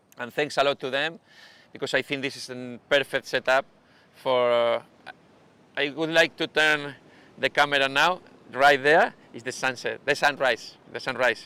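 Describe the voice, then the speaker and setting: A man with a Spanish accent and a bright, sharp tone speaks at a fairly high pitch, at a moderate pace, with fairly even intonation. Long, frequent pauses and big swings in loudness mark the dry, close sound with no echo. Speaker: surf coach. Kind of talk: live stream interview. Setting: beach bar used as studio. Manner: halting.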